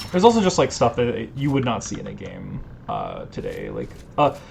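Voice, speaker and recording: Music plays in the background as a man speaks at a moderate pace, with audible room echo. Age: 20s. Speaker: video game streamer. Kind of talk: casual gameplay commentary. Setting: live stream. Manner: hesitant, many fillers.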